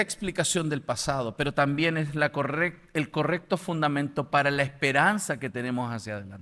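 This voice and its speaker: On a very clean recording with a silent background, a man speaks at a moderate pace. His tone is bright and sharp, with lively intonation. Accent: Chilean. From Chile. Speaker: apologetics lecturer. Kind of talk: lecture.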